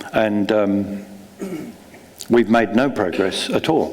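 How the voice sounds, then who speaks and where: The man's voice sits fairly low. Audible room echo and noticeable background noise surround it. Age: 70s. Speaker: novelist. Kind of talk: onstage conversation; reading aloud. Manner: halting, many fillers.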